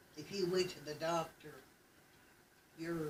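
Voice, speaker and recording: Monotone, flat delivery from a woman with an Appalachian accent, fairly low in pitch, at a moderate pace. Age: 80s+. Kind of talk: family oral history interview.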